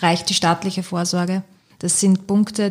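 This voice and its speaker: Her voice somewhat breathy, a woman speaks at a moderate pace. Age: 30s. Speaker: bank marketing employee. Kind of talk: casual chat.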